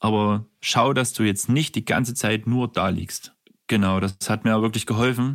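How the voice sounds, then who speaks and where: In an unremarkable speaking voice, a man talks at a moderate pace and a fairly low pitch, with fairly even intonation. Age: 30s. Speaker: care worker. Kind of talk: testimony.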